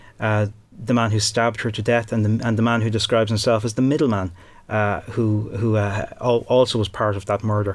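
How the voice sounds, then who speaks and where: At a fairly quick pace, a man with a Dublin accent speaks in a fairly low, flat, monotone voice. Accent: Dublin Irish. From Ireland, Dublin. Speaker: crime journalist and author. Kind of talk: interview. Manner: halting, many fillers and repeated words.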